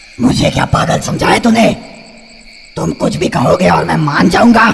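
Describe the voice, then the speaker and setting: A man uses a cartoonish character voice, raspy and menacing in tone, at a moderate pace. Clear background noise can be heard. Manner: menacing, mocking laugh.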